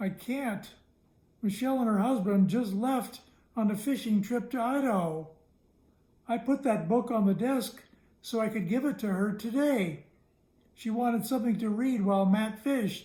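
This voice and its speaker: Using a put-on character voice, a man talks in a high pitch at a moderate pace with long, frequent pauses. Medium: read story.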